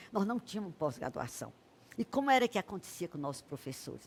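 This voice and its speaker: A woman's voice with very wide pitch swings. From Brazil, Piauí. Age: 70s. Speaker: writer and lawyer, academy president. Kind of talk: interview. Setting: studio.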